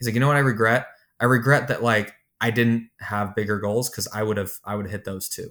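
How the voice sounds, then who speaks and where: In a very clean recording with a silent background, a man with an unremarkable speaking voice talks at a fairly quick pace, medium pitch and fairly even intonation. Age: 30s. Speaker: software executive and contractor business owner. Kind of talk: casual interview.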